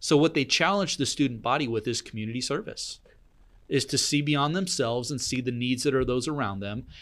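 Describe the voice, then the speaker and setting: In a normal speaking voice with an American accent, a man of medium pitch talks fairly quickly with ordinary pitch variation, on a very clean recording with a silent background. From southern Oregon, US. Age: 40s. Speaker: coffee business owner. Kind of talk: casual chat. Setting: studio.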